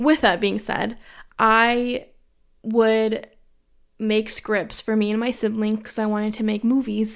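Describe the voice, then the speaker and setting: A woman with a Western New York accent speaks at a fairly slow pace and a fairly high pitch, her intonation monotone and flat. She leaves long, frequent pauses in a very clean recording with a silent background. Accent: Western New York American. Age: 20s. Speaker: podcast host. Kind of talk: casual monologue.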